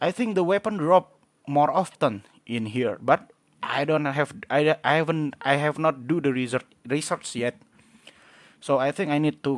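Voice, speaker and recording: The intonation is lively, at a moderate pace. The sound is dry and close, with no echo. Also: man. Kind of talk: game guide talk. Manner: hesitant, halting.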